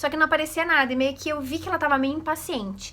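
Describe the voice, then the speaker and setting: A woman speaks in a raised, projected voice. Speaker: vlogger. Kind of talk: casual vlog talk. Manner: animated.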